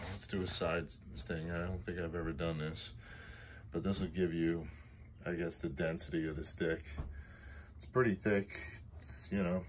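A man with a very deep, low voice and vocal fry speaks with long, frequent pauses over light background noise. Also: ordinary pitch variation, moderate pace. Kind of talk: casual vlog chat. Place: garage. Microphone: phone near.

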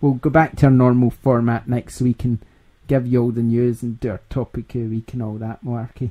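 In a dark, mellow tone, a man speaks with monotone, flat intonation, the sound dry and close with no echo. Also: medium pitch for a man, fairly quick pace. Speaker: gaming podcast host. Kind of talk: casual chat.

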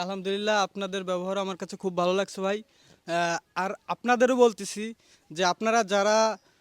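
A man speaks in a high, monotone voice with flat intonation on a very clean recording against a silent background. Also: dry, close sound with no echo. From Magura district, Bangladesh. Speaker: building contractor. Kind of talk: customer testimonial. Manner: halting.

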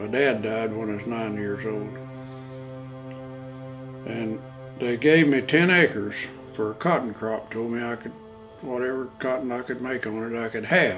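A man with an American accent speaks fairly slowly, pausing long and often. Clear music plays in the background. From Oklahoma. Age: 80s+. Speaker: farmer. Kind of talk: interview answer. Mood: calm storytelling. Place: home room.

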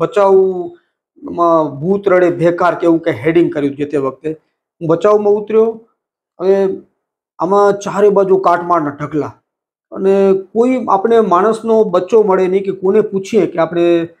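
A male speaker, high-pitched, his pitch varying in an ordinary way. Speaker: newspaper editor. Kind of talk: interview. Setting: editor's cabin in office. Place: office. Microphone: lapel.

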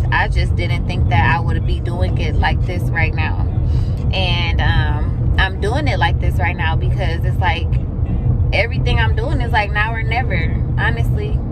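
The speech comes at a fairly slow pace with a dry sound without echo, under loud background noise. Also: woman. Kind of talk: casual vlog chat. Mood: grateful, reflective. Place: car. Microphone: phone near.

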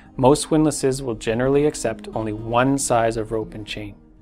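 A man's voice at a moderate pace with ordinary pitch variation, faint music in the background. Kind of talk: tutorial. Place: shop.

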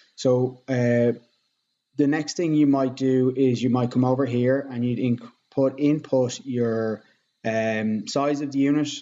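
Speaking very slowly in an Irish accent, a man uses a dark, mellow tone with fairly even intonation. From Ireland. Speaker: real estate agent. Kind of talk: tutorial. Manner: hesitant with fillers. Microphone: webcam.

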